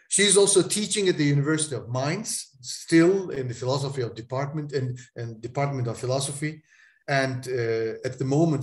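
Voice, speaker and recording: A man with a Turkish accent speaks at a moderate pace in a fairly high, somewhat breathy voice with lively intonation against a quiet background. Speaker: moderator. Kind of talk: event introduction. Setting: video call.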